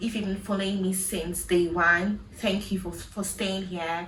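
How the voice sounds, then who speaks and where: A woman with a Ghanaian accent speaks at medium pitch and a moderate pace, her intonation fairly even. Noticeable background noise and audible room echo fill the recording. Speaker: vlogger. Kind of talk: personal vlog monologue.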